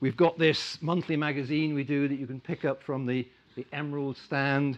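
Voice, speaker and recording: A man speaks at a fairly quick pace in an ordinary speaking voice. His pitch is fairly high. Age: 60s. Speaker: investment club chairman. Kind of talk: conference talk.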